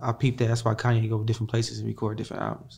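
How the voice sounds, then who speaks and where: Speaking very fast in a flat monotone, a man has a medium-pitched, dark, mellow voice that is somewhat breathy. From Chicago. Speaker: R&B singer. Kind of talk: casual interview.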